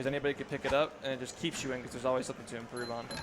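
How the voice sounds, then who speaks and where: A man's medium-pitched voice with an American accent, monotone and flat in intonation, over noticeable background noise. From New Jersey, US. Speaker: speedrunner. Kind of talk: live gameplay commentary. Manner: casual, fast.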